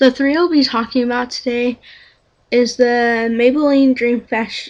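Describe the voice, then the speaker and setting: Quietly, a woman speaks in a high, flat monotone. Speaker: beauty vlogger. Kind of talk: product review.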